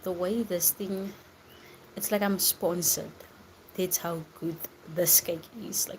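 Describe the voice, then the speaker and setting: Whispering and soft-spoken, a woman talks at a fairly slow pace with long, frequent pauses. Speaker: live streamer. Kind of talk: casual chat. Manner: whispering, soft.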